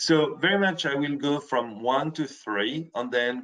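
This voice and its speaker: A man with a French accent and ordinary pitch variation. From France. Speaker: software presenter. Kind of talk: webinar presentation. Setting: online webinar. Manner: halting, with frequent self-corrections.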